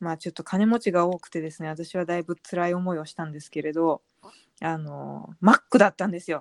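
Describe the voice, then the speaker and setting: An ordinary speaking voice from a woman, pitched fairly low with fairly even intonation. She moves at a fairly quick pace, with big swings in loudness. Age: 30s. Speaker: blogger and author. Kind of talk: casual chat.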